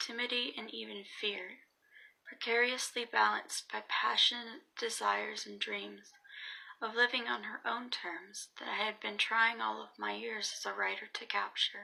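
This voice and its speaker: A soft-spoken woman at a fairly slow pace, with big swings in loudness. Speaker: student. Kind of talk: essay reading.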